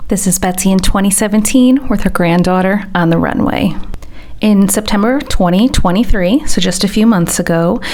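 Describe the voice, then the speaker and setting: The speaker has an American accent and a moderate pace with ordinary pitch variation. Noticeable background noise runs under the voice. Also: woman, medium pitch for a woman. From United States. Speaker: fashion reseller. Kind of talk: vlog narration to camera. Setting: home recording with background fan noise.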